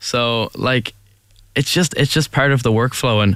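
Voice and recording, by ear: A man speaks at a fairly slow pace, his medium pitch showing ordinary variation. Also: fairly bright tone.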